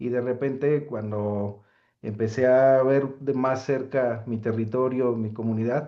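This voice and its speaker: Very slowly, a man speaks in a flat, monotone way. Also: medium pitch for a man. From Colombia, Boyacá. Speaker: academic researcher and activist. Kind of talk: conference talk. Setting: lecture hall with audience. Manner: halting, many fillers.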